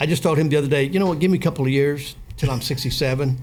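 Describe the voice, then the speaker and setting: A man with a fairly high voice is heard through audible room echo and noticeable background noise. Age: 60s. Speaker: business owner. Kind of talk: casual chat.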